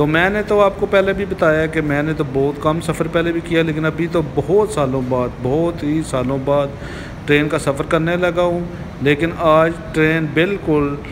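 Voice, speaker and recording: Through noticeable background noise, a man speaks at a fairly slow pace with fairly even intonation. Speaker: travel vlogger. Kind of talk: casual vlog chat. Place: station. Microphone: phone near.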